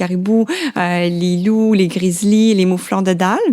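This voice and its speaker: Her voice sits at a medium pitch for a woman and has a dark, mellow tone. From Quebec, Laurentides. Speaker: biologist. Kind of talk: interview. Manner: halting, many fillers.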